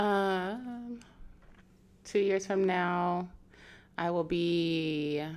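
A woman with an American accent, medium in pitch, speaking at a very slow pace with long, frequent pauses, ordinary pitch variation, and audible room echo. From US Pacific Northwest, Seattle area. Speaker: model and marketing professional. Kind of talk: casual chat.

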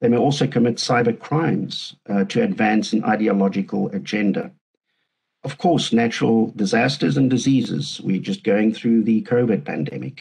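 At a moderate pace, a man speaks with a medium pitch, lively intonation and vocal fry. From South Africa, Cape Town. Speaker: professor. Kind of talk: interview.

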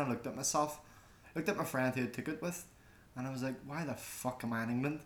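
A man with a Belfast accent speaks very fast at a fairly high pitch, with ordinary pitch variation. Noticeable background noise runs underneath. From Northern Ireland, West Belfast. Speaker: podcast co-host, media student. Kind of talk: casual chat.

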